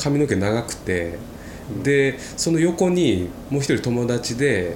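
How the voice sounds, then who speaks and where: Audible room echo and noticeable background noise surround a man whose pitch swings very widely. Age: 20s. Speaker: podcast co-host. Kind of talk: casual chat.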